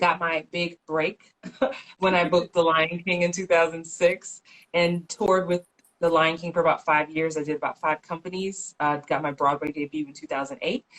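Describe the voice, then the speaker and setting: Dry and close with no echo, a woman's normal speaking voice, fairly low in pitch, moves at a moderate pace with fairly even intonation. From New York, the Bronx. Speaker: actress and career coach. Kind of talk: interview. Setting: Instagram live video.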